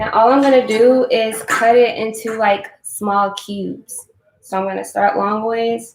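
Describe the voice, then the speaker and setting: Her pitch fairly high, a woman talks at a fairly slow pace with fairly even intonation. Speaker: vegan cooking creator. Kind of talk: live-stream cooking tutorial. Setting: live stream. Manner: casual, chatty.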